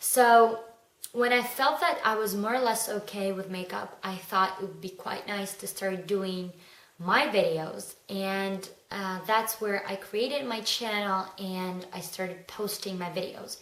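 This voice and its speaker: Noticeable background noise and audible room echo surround a woman's voice. She speaks at a fairly slow pace with a medium pitch and fairly even intonation. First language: not English. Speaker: beauty vlogger. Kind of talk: casual vlog monologue. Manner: hesitant, with fillers.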